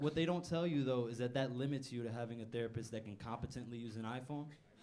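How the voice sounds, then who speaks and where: Talking very fast, a man with a medium-pitched, dark, mellow voice uses ordinary pitch variation amid audible room echo. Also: hardly any pauses. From Newark, New Jersey, Puerto Rican family. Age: 20s. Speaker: stand-up comedian. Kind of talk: stand-up. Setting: stage with audience.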